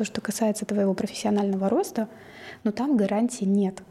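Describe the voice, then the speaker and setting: A dark, mellow, somewhat breathy voice at a moderate pace with ordinary pitch variation. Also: woman. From Kazakhstan, Ridder (small mining town). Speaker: coach. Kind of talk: casual interview.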